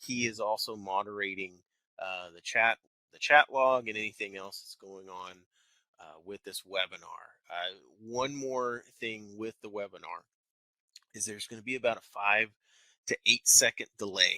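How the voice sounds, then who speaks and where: A man with an American accent, medium pitch, fairly even intonation and a bright, sharp tone, at a moderate pace with long, frequent pauses and big swings in loudness, in a dry, close sound with no echo. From Texas. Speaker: wealth manager. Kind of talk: webinar presentation. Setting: office, live webinar broadcast.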